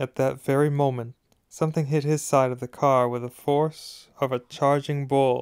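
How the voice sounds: Over a quiet background, a natural reading voice moves with fairly even intonation.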